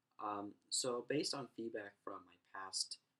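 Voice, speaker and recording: The speaker is a soft-spoken man. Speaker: university student. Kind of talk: class presentation.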